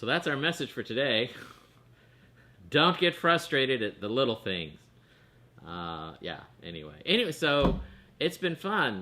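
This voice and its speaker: A man talks loudly at a moderate pace. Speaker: online show co-host. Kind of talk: casual chat.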